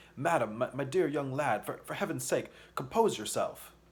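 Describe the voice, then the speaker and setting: A man puts on a shaky character voice, fairly high in pitch. He keeps a moderate pace. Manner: trembling, pleading, panicked.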